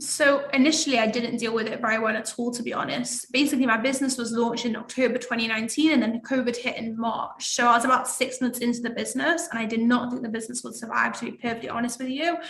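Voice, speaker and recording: A woman with an English accent talks at a very fast pace with hardly any pauses, her pitch high and her intonation fairly even. Noticeable background noise and audible room echo surround her. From England. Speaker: networking group founder. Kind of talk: interview.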